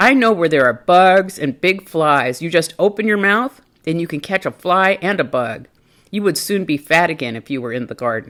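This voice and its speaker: In a put-on character voice, a woman speaks at a fairly low pitch and a moderate pace. The recording is very clean, with a silent background. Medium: read story.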